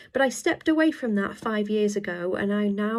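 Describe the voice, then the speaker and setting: A woman with a medium pitch speaks over noticeable background noise. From UK. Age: 30s. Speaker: online English tutor. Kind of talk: self-introduction video. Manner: casual with frequent filler words.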